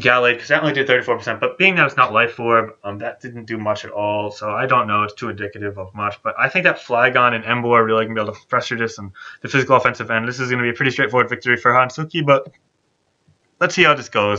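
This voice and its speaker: Over a quiet background, a man talks at a very fast pace in a bright, sharp tone at medium pitch. His loudness swings widely while his pitch varies in an ordinary way. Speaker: gaming commentator. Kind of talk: live esports commentary. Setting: recorded gameplay narration. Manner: thinks aloud, hesitant, filler-laden, improvising predictions; casual, conversational.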